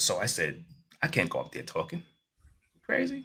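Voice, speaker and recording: A man with an American accent at a moderate pace. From New York City, Queens. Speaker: life coach and motivational speaker. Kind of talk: podcast interview. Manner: casual, many fillers.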